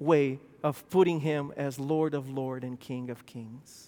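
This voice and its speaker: Over a silent background, a man speaks with a non-native accent. His pace is fairly slow, and the recording is very clean. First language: not English. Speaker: pastor. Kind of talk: sermon. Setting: church.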